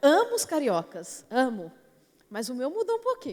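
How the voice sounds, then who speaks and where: This is a woman speaking with a São Paulo accent. The sound is dry and close, with no echo. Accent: São Paulo Brazilian Portuguese. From São Paulo, Brazil. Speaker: preacher. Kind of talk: sermon. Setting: church platform.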